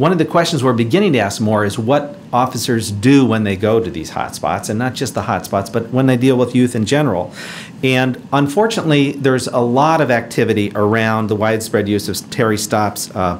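A man talks at a fairly quick pace with hardly any pauses. His pitch varies in an ordinary way over light background noise. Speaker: presenter. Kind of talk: lecture. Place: hall. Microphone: podium.

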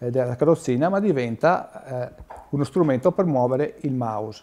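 The man's speech moves at a medium tempo. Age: 40s. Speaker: wheelchair user explaining assistive tech. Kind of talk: informal explanation. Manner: halting, many fillers.

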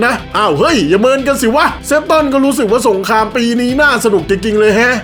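A man speaks at an extremely high pitch with ordinary pitch variation. Music plays in the background. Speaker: manga narrator, amateur dubber. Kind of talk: comedic manga recap narration.

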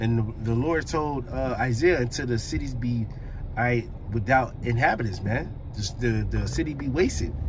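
Over noticeable background noise, a man speaks at a moderate pace with lively intonation. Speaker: driver preaching. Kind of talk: religious commentary. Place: car. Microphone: phone near.

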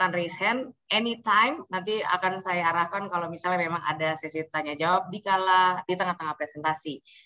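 Against a quiet background, a woman with a bright, sharp tone talks at a fairly quick pace with hardly any pauses and ordinary pitch variation. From Indonesia. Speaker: event host. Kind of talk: hosting online event. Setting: video call. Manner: animated. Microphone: webcam.

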